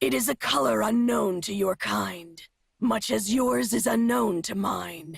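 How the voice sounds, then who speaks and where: This put-on character voice sits at a middle pitch with very wide pitch swings. It moves at a fairly slow pace. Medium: video game. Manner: cryptic, formal, speaks in nature metaphors; proud and terse.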